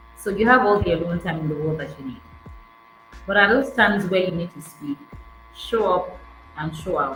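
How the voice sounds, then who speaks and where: A woman's medium-pitched voice with lively intonation and big swings in loudness, at a moderate pace with long, frequent pauses, amid audible room echo and music in the background. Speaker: event host and public speaking coach. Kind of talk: interview on public speaking.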